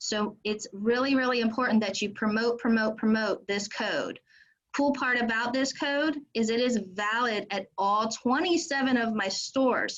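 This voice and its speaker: A woman with a plain, everyday voice speaks at a fairly high pitch and a moderate pace, showing ordinary pitch variation. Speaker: restaurant fundraising representative. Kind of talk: sales pitch. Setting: video call.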